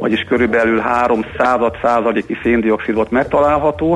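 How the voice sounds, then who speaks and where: A man speaks at a medium pitch with ordinary pitch variation. Noticeable background noise is audible. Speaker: industrial gas company director. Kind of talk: radio interview. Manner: formal, explanatory.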